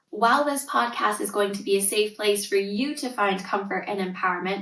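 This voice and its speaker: With a Canadian accent and lively intonation, a woman speaks in a medium pitch in a plain, everyday voice. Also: fairly quick pace. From Canada (Northern Ontario). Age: 30s. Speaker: tutor and parenting coach, podcast host. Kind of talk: podcast monologue.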